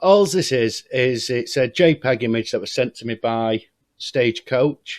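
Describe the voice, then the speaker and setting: Speech in an English accent runs at a fairly slow pace. Pitch varies in an ordinary way, and the sound is dry and close with no echo. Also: man, medium pitch for a man. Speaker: YouTuber. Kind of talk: vlog monologue. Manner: hesitant.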